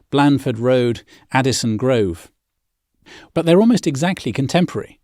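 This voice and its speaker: Over a silent background on a very clean recording, a man talks at a moderate pace. His fairly high pitch has ordinary variation and a dark, mellow tone. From English Midlands, Birmingham. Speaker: podcast host. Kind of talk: scripted narration. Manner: measured.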